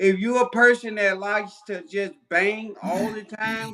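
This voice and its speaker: Using a raised, projected voice with an American accent, a man with a high pitch and bright, sharp tone speaks at a fairly slow pace with ordinary pitch variation. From US Midwest, St. Louis, Missouri. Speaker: boxer. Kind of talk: interview.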